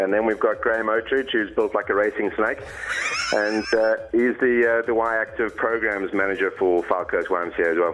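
Music plays in the background as a man with a South African accent speaks at a moderate pace with very even loudness. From Cape Town, South Africa. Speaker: radio show guest, charity bike rider. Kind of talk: casual, jokey.

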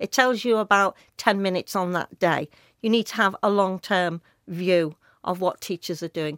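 A woman with a Liverpool accent, medium in pitch, with ordinary pitch variation at a moderate pace, recorded very cleanly with a dry, close sound, no echo and a silent background. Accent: Scouse (Liverpool). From Liverpool, England. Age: 60s. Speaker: teachers' union representative. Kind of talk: radio interview. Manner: animated.

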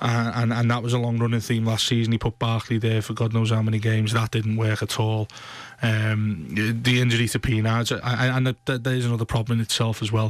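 A man speaks at a medium pitch and a fairly quick pace. His intonation is monotone and flat, his loudness very even. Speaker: football pundit. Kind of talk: casual football banter. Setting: radio studio.

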